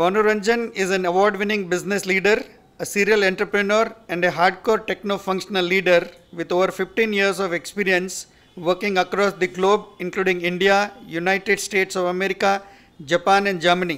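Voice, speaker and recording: Delivered at a fairly quick pace, the speech has a monotone, flat intonation. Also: man, high pitch for a man. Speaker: event host introducing speaker. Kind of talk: formal speaker introduction. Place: hall. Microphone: podium.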